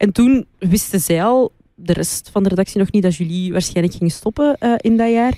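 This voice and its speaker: Her tone dark and mellow, a woman speaks with ordinary pitch variation and very even loudness in a dry, close sound with no echo. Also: medium pitch for a woman, moderate pace. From Flanders, Moroccan roots. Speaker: radio DJ. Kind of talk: casual interview chat.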